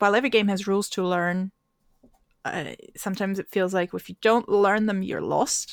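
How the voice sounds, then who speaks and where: Heard in a very clean recording with a silent background, a woman speaks at a medium pitch and a moderate pace. The sound is dry and close with no echo, and she takes long, frequent pauses. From Austria. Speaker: tabletop role-playing game master and tour guide. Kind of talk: casual interview chat.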